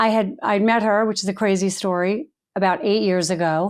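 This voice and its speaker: A woman with an American accent speaks in a normal speaking voice, with ordinary pitch variation, on a very clean recording with a silent background. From Long Island, New York. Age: 60s. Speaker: author and speaker. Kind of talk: podcast interview. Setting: home.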